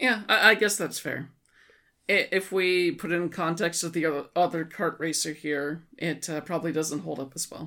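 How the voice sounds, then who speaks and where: Set against a silent background in a very clean recording, a woman's bright, sharp tone sits at a fairly low pitch with ordinary pitch variation and a moderate pace. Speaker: podcast co-host. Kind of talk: casual chat.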